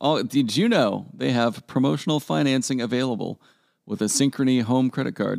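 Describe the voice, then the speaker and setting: In a very clean recording with a silent background, a man with an American accent speaks in a normal speaking voice at a medium pitch, with lively intonation and very even loudness. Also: moderate pace. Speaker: podcast host. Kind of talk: casual banter podcast.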